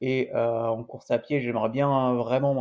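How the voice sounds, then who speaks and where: A man at medium pitch with fairly even intonation and a fairly slow pace. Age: 20s. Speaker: amateur triathlete and endurance coach. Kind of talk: vlog monologue. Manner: halting, many hesitations.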